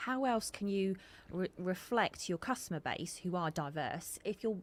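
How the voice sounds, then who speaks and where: Lively intonation in a woman's voice of medium pitch. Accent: strong southern English. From southern England. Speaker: podcast co-host. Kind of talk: casual podcast chat.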